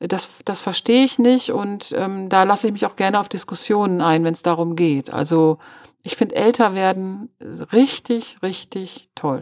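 An unremarkable speaking voice belongs to a woman talking at a moderate pace and medium pitch. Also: ordinary pitch variation. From Münster, Westphalia, Germany. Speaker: journalist. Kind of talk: casual interview.

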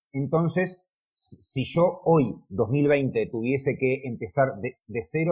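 The voice has a dark, mellow tone, ordinary pitch variation and a somewhat breathy quality. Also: man. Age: 40s. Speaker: car detailer and YouTuber. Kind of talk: interview. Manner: halting.

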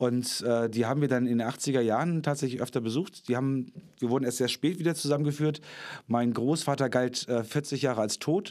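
On a very clean recording with a silent background, a man with a normal speaking voice at medium pitch talks at a fairly quick pace, with very even loudness and fairly even intonation. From northern Germany. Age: 40s. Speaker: actor and puppeteer. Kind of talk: casual interview.

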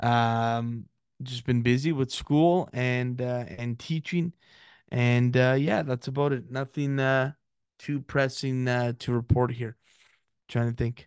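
Medium-pitched man's voice, very slow and monotone with flat intonation, over a quiet background. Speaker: podcast host. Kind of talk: casual chat.

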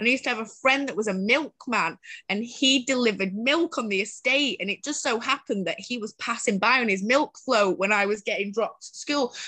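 A woman with a Mancunian accent speaks at a fairly quick pace and a fairly high pitch, with ordinary pitch variation and a quiet background. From Greater Manchester, Bury. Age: 30s. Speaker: social entrepreneur, homelessness advocate. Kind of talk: interview, personal life story.

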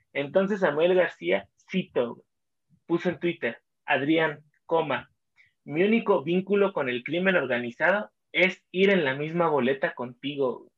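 This man has a high voice and a Mexican accent, talking at a fairly slow pace. His intonation is lively, and his loudness swings widely. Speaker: podcast co-host. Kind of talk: casual chat.

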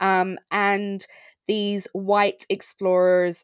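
A woman with an Irish accent at medium pitch, dry and close with no echo, on a very clean recording with a silent background. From Ireland. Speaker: podcast host. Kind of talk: casual podcast chat.

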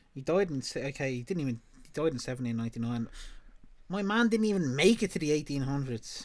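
With a Dublin accent, a man rattles off words at a very fast pace, his fairly high voice swinging very widely in pitch. The recording is very clean, the background silent. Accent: Dublin Irish. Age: 20s. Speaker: podcast host. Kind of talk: casual chat.

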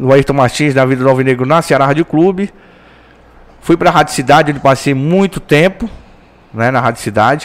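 Speaking at a fairly quick pace but with long, frequent pauses, a man uses a fairly high pitch and ordinary pitch variation. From Belém, Pará, northern Brazil. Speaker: sports radio reporter. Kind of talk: casual chat. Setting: studio.

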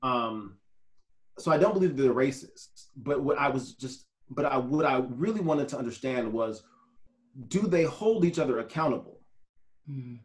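Somewhat breathy, a man speaks at medium pitch and a moderate pace with lively intonation. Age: 40s. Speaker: photographer and real estate agent. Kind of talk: casual interview chat.

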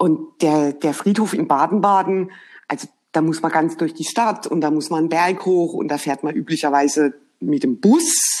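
A woman with a fairly low pitch and an unremarkable speaking voice talks at a moderate pace with ordinary pitch variation. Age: 50s. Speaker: HR professional. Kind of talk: casual chat. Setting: remote call.

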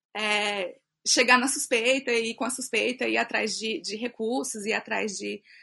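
A woman speaks fairly slowly with vocal fry, her pitch fairly high and her tone bright and sharp. Her intonation stays fairly even against a quiet background. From Brasília, Brazil. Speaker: illustrator and author. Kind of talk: casual chat.

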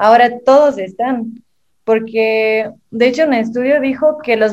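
A woman speaks in a fairly high pitch with a Mexican accent. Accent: Mexican-sounding Spanish. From southern Brazil. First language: Portuguese (speaking Spanish). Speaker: digital marketing specialist. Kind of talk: casual chat.

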